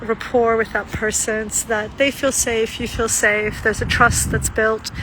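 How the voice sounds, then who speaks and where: Against noticeable background noise, a woman with a fairly high pitch talks at a fairly quick pace. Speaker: trauma-informed practitioner and vlogger. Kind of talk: casual reflective monologue.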